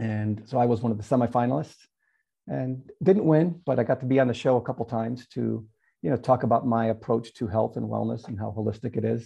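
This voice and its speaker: At a fairly quick pace, a man with a somewhat breathy, medium-pitched voice lets his pitch move in an ordinary way. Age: 50s. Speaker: fitness and nutrition expert. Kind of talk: interview.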